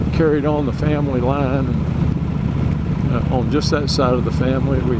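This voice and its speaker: With audible room echo and noticeable background noise, a man with an American accent speaks at a fairly slow pace. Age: 70s. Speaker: motorcycle vlogger. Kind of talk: casual vlog monologue. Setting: outdoors, riding a motorcycle. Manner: rambling, halting with many fillers.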